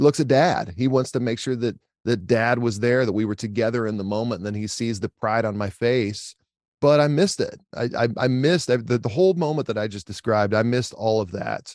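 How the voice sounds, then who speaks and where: A man of medium pitch with an American accent speaks in an unremarkable speaking voice, his pitch varying in an ordinary way. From Oklahoma. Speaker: tech company co-founder. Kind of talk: podcast interview.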